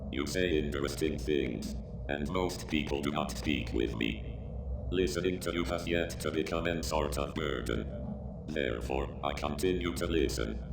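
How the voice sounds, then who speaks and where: A man in a put-on character voice at a moderate pace, over loud background noise. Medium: audio drama. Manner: flat, formal, stilted phrasing.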